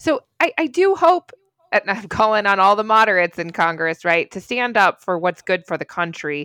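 Her voice is bright and sharp, at a medium pitch for a woman. She keeps a moderate pace while her pitch swings very widely. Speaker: journalist. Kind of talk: news discussion podcast.

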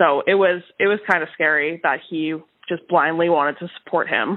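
A plain, everyday voice speaks at a moderate pace. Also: woman. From Winnipeg, Manitoba, Canada. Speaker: lawyer and comedian. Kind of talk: interview testimony.

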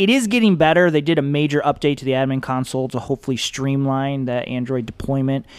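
Rushing along at a very fast pace with hardly any pauses, a man with an American accent talks at a fairly high pitch with ordinary pitch variation. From Michigan. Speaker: education technology consultant, former teacher. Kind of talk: casual interview.

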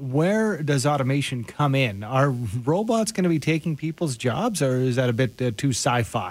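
Speaking at a moderate pace, a man with a fairly high pitch makes very wide pitch swings while keeping very even loudness. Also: hardly any pauses. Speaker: radio host. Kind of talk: radio interview. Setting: radio studio.

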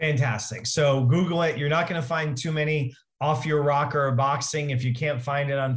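At a moderate pace, a man with a fairly high pitch talks in a somewhat breathy voice with fairly even intonation. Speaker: podcast host. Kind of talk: interview.

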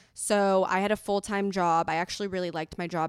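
This woman speaks fairly quickly, in a Californian accent, at a medium pitch. The sound is dry and close with no echo. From Los Angeles. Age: 20s. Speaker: entrepreneur. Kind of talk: casual interview. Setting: remote recording.

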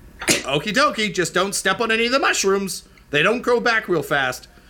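The man's pitch is high. He is doing a put-on character voice. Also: moderate pace. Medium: actual play. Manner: folksy, plain-spoken.

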